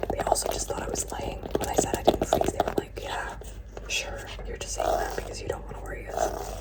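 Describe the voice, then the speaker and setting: Soft-spoken whispering at a fairly quick pace, with noticeable background noise. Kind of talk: casual talk to camera, ASMR show-and-tell. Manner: whispered, soft-spoken.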